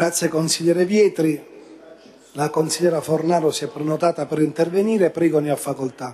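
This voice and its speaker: Light background noise accompanies a man talking at a fairly quick pace with fairly even intonation. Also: fairly high pitch for a man. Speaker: city council president. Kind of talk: council meeting chairing. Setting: council chamber. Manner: formal. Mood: defensive, reassuring. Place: hall. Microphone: podium.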